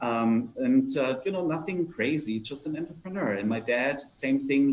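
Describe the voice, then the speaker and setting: A man with a German accent talks in a fairly high voice with lively intonation and hardly any pauses. Noticeable background noise is present. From Germany (Nuremberg). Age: 50s. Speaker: entrepreneur. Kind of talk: fireside chat talk. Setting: video call. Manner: hesitant, many fillers.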